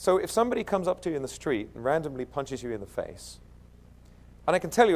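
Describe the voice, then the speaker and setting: Male speaker, with an American accent. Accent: British, slipping toward American. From East London, England. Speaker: keynote speaker. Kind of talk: conference keynote. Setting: stage with audience. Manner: animated.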